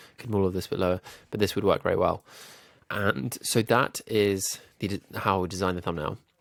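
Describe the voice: A man speaks at a fairly quick pace in a low, nasal voice with vocal fry and fairly even intonation.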